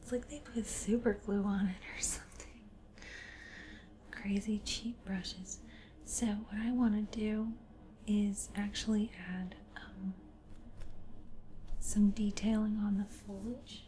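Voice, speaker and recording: A soft-spoken, very slow delivery with long, frequent pauses over noticeable background noise. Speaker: ASMR creator. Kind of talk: ASMR painting tutorial.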